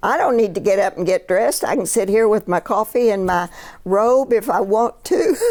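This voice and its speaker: Noticeable background noise sits behind a woman speaking at a medium pitch. She keeps a moderate pace with lively intonation. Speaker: retired clergy. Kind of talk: oral history interview.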